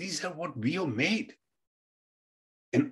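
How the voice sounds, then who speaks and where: Using vocal fry, a man speaks at a fairly high pitch with very wide pitch swings. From India. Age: 70s. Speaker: physician. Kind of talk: health presentation.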